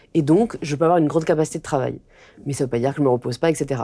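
Her voice is very deep and low in pitch for a woman, with a dark, mellow tone. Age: 20s. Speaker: influencer and author; influencer. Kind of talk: interview conversation. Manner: hesitant with fillers. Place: home room.

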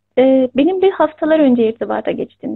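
Over a quiet background, a woman speaks in a high voice with lively intonation. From Turkey. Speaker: writer and teacher. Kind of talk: interview. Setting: video call. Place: home room. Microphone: video call.

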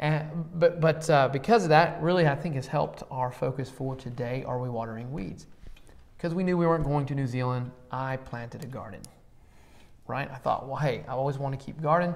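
Moving at a fairly quick pace, a man speaks with pitch that varies in an ordinary way. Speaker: church podcast host. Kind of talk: casual conversational Bible discussion. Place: classroom. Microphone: lapel.

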